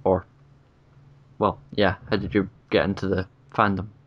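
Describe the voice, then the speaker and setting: With a Scottish accent, a man speaks at a moderate pace. The background is quiet. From Scotland. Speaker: YouTube interview host. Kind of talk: casual interview. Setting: video call.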